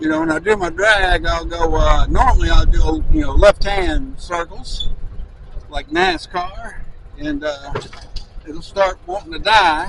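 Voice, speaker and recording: Noticeable background noise accompanies a man speaking at a fairly slow pace, the sound dry with no echo. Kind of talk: casual vlog chat. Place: farm machine. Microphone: phone near.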